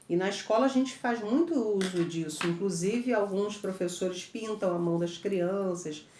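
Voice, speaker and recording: Noticeable background noise and audible room echo surround this recording. A woman with a medium pitch speaks at a fairly slow pace. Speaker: teacher. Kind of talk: lecture.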